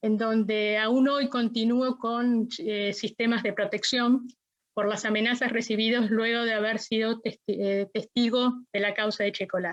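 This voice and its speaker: Her pitch fairly high, a woman speaks in a flat monotone. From Argentina, La Plata. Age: 60s. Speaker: witness, dictatorship survivor. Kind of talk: court testimony. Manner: formal.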